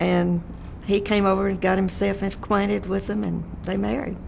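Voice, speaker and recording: A woman with a Texan accent at a moderate pace, amid noticeable background noise and audible room echo. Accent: Texan Southern US. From Texas, Fort Worth area. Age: 90s. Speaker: oral history interviewee. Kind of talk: oral history interview. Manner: halting.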